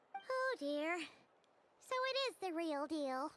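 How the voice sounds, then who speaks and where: This put-on character voice is squeaky and extremely high in pitch. It moves at a very slow pace. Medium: video game. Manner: dry, sarcastic.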